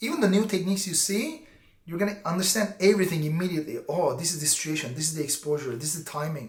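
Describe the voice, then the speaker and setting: A man talks at a very fast pace in a high pitch with ordinary pitch variation. Noticeable background noise sits behind him. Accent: non-native. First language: not English. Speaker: BJJ instructor. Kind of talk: casual vlog talk to camera. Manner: animated; halting.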